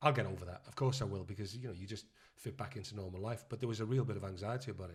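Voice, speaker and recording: A man's fairly low, somewhat breathy voice at a very fast pace, with ordinary pitch variation. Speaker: actor and director. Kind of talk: casual chat.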